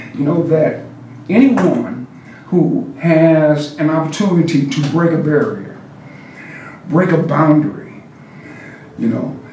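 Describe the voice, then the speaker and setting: With noticeable background noise and audible room echo, a man talks at a fairly slow pace in a fairly high pitch, with ordinary pitch variation and long, frequent pauses. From Cuba-born, raised in St. Louis area, US Midwest. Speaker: mayor. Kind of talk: interview. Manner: halting, many fillers.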